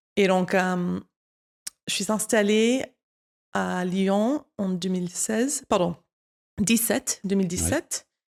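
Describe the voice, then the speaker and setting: With an American accent, a woman speaks very slowly at a medium pitch with ordinary pitch variation and long, frequent pauses, in a dry, close sound with no echo. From United States. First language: English (speaking French). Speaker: wine content creator. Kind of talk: interview. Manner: halting.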